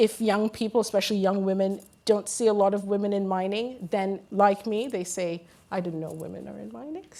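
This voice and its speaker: Recorded very cleanly against a silent background, a woman with an American accent talks at a fairly quick pace, medium pitch, and ordinary pitch variation. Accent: sounds American. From Guyana. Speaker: women in mining advocate, panelist. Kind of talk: panel discussion. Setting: conference stage with audience.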